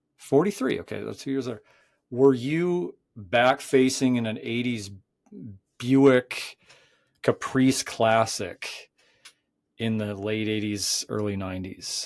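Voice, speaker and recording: At a very slow pace, a man speaks at medium pitch with ordinary pitch variation, long, frequent pauses and big swings in loudness. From North Dakota. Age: 40s. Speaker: podcast host. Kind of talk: casual chat.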